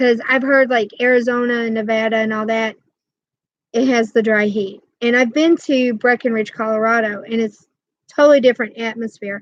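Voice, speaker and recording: Using a normal speaking voice, a woman with a fairly high pitch talks at a moderate pace with fairly even intonation. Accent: American. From New York State (Rochester). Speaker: crochet YouTuber. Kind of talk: casual livestream chat.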